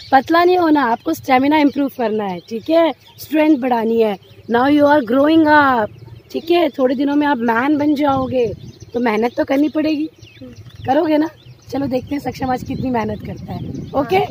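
Over light background noise, a woman with a high pitch and ordinary pitch variation speaks in a dry sound with no echo. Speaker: mother vlogger. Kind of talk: casual vlog chat. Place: open country. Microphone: phone near.

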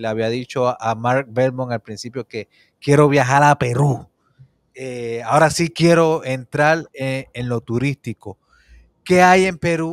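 Over a quiet background, a man speaks at a fairly slow pace with ordinary pitch variation, the sound dry with no echo. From Puerto Rico. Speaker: interview show host. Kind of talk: interview. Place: home room. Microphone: studio mic.

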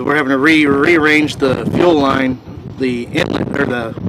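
The speech moves at a fairly slow pace with fairly even intonation. The sound is dry with no echo, and there is noticeable background noise. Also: man. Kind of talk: casual repair vlog commentary. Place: street.

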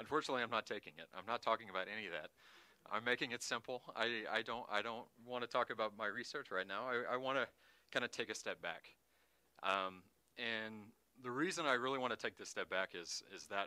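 Bright and sharp in tone, a man speaks at a fairly quick pace with ordinary pitch variation and a dry sound with no echo. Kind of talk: lecture. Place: hall. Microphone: lapel.

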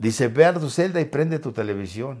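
On a very clean recording with a silent background, a man with an unremarkable speaking voice talks at a moderate pace. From Mexico. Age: 60s. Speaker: interview guest, ex-prisoner. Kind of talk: interview, personal storytelling.

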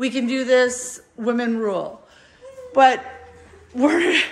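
Her voice high, a woman speaks at a very slow pace. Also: ordinary pitch variation. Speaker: vlogger filming a friend's move. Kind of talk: casual vlog chat. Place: home room. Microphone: phone near.

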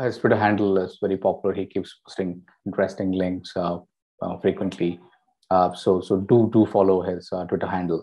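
A man with a very deep, low voice speaks at a moderate pace in monotone, flat intonation, leaving long, frequent pauses against a quiet background. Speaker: webinar host. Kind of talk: speaker introduction. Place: home room.

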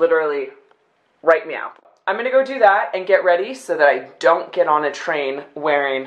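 A woman talks at a moderate pace, her fairly low voice carrying lively intonation. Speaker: vlogger. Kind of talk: casual vlog chat. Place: home room. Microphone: phone near.

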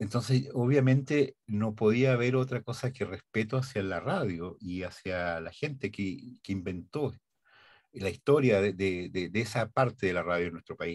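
Speaking at a fairly slow pace, a man uses a fairly low pitch with ordinary pitch variation. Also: quiet background. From Chile. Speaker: radio and TV announcer. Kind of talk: interview answer. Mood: warm, nostalgic. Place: studio.

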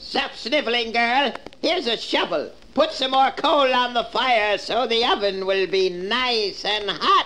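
Someone uses a put-on character voice, pitched fairly high. The delivery is fairly slow. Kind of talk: children's record dramatization. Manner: sweetly coaxing then menacing.

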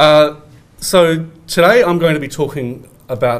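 A man talks with an Australian accent. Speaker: academic researcher; conference presenter. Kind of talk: conference presentation. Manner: halting, many fillers. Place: hall. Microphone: podium.

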